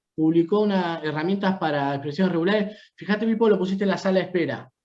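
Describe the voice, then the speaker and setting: A man with a Rioplatense accent, high-pitched, with ordinary pitch variation. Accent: Argentine Rioplatense Spanish. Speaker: university lecturer. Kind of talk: lecture. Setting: video call.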